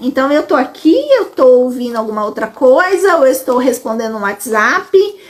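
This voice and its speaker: There is noticeable background noise behind a woman's voice. She speaks at a high pitch with very wide pitch swings. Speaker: educational psychologist. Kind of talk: live stream Q&A. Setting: live stream on social media.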